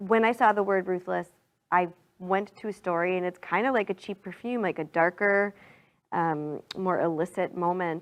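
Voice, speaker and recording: A woman with a Minnesotan accent talks at a moderate pace and medium pitch against a quiet background. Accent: Minnesota. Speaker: singer-songwriter. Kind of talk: casual interview. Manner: animated.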